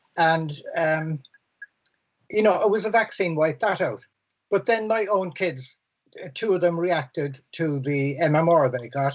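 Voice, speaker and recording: A man speaks in a Cork accent at a fairly high pitch. His pace is moderate and his pitch variation ordinary. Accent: Cork Irish. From Ireland, Cork City. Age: 60s. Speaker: environmental campaigner. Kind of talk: panel discussion. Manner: halting, repeats words.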